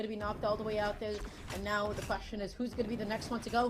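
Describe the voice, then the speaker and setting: Over noticeable background noise and audible room echo, a woman speaks at a very fast pace in an animated tone. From Russia. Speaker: esports caster. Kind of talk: live commentary.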